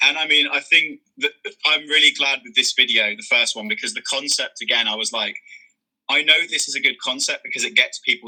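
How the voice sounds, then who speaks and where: With a Birmingham accent, a man speaks fairly quickly with big swings in loudness and a dry, close sound with no echo. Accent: Brummie. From Birmingham, England. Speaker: content creator. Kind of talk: interview. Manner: halting.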